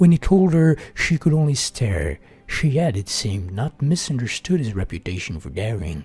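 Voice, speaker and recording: A man talks at a moderate pace, his pitch swinging very widely. Music plays in the background. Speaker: gaming streamer. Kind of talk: reading aloud. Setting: live stream.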